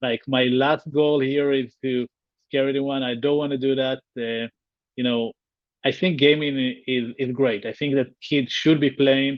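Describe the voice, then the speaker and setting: A man with an Israeli accent, medium pitch, monotone, flat intonation and a fairly slow pace. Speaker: tech company founder. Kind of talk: interview. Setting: livestream. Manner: halting, repeats words.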